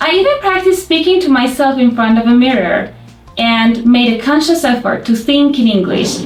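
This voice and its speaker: With music in the background and audible room echo, a woman speaks in a Persian accent at a high pitch with lively intonation. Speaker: language teacher. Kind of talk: tutorial.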